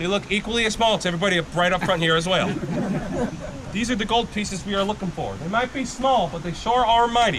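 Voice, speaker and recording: Loud and high-pitched, a man talks at a very fast pace with ordinary pitch variation over noticeable background noise. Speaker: gold panning instructor at tourist camp. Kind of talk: live demonstration to tour group. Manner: loud, projecting.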